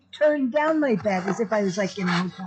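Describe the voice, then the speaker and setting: A woman's fairly high, somewhat breathy voice with lively intonation. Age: 60s. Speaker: vlogger. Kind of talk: casual chat.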